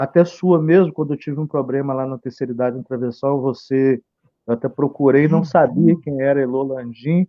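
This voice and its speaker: This man has a normal speaking voice, pitched fairly high. He talks at a moderate pace with fairly even intonation. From Campos area, Rio de Janeiro state, Brazil. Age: 40s. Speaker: local political candidate. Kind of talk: live stream interview. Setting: Facebook live stream.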